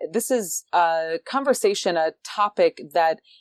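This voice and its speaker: Over a quiet background, a woman with an unremarkable speaking voice talks at a medium pitch with lively intonation, in a dry, close sound with no echo. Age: 30s. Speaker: podcast host. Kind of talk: podcast interview.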